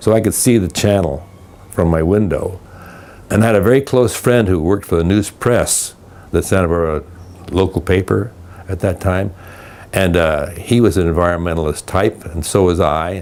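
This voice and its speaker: At a moderate pace, a man speaks in a very deep, low voice with ordinary pitch variation. His loudness stays very even, broken by long, frequent pauses. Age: 80s+. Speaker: sculptor and environmental activist. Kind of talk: interview. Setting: recorded documentary interview. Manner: halting.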